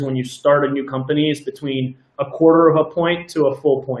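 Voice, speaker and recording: A man's fairly high-pitched, monotone voice with flat intonation at a fairly quick pace. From New York, Brooklyn. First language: not English. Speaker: tech founder. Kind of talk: interview. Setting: live show. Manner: hesitant, many fillers.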